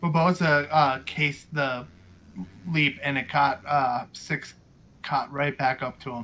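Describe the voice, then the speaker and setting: The tone is bright and sharp, with monotone, flat intonation. The pace is fairly slow. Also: man, fairly high pitch for a man. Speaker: co-commentator and racer. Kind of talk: live sports commentary, co-commentator analysis.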